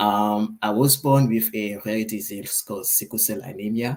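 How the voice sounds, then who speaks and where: Speaking with a West African accent, a man uses a medium pitch with ordinary pitch variation. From Ivory Coast. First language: French. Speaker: AI creator and author. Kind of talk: interview. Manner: soft-spoken.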